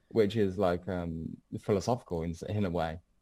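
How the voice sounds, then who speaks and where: A man speaks with a dark, mellow tone. His pace is fairly slow and his intonation fairly even. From England, Birmingham. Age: 20s. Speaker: trader. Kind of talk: interview.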